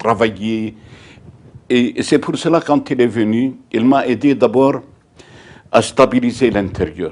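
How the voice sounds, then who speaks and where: Speaking at a medium pitch with ordinary pitch variation, a man moves at a very slow pace. He leaves long, frequent pauses. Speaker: former parish priest of Gaza, interviewee. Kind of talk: interview answer. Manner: hesitant, repeating words.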